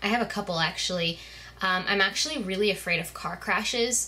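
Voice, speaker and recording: A woman speaks at a fairly quick pace. Noticeable background noise runs under her voice. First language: Spanish. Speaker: beauty vlogger. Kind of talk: casual chat.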